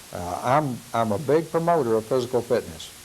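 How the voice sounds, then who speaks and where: A man talks at a fairly quick pace with lively intonation. Audible room echo and noticeable background noise surround him. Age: 70s. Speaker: law enforcement trainer. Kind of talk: lecture. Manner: halting, with fillers.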